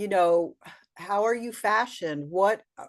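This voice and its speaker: At a fairly slow pace, a woman with an unremarkable speaking voice talks at a medium pitch over a quiet background. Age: 60s. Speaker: color and style consultant. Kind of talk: casual interview.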